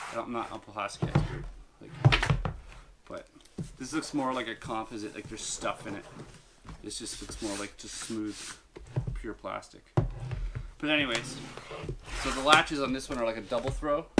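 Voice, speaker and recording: At a moderate pace with long, frequent pauses, the speaker's pitch varies in an ordinary way over loud background noise. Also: man. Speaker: product reviewer. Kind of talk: casual unboxing commentary. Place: home room.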